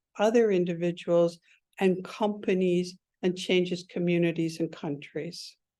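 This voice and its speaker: Fairly slow and fairly even in intonation, the woman's voice is fairly low with a dark, mellow tone. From Canada, Ontario. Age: 60s. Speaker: speaker at a professional launch event. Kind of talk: motivational talk.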